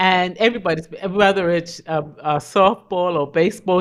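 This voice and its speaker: In a normal speaking voice, a woman talks at a fairly slow pace and a fairly low pitch, with ordinary pitch variation over a quiet background. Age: 60s. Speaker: communications consultant. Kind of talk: podcast interview. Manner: reflective, conversational.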